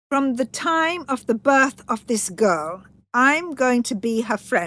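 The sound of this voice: A woman's put-on character voice, fairly high in pitch and fairly bright, with big pitch swings at a slow pace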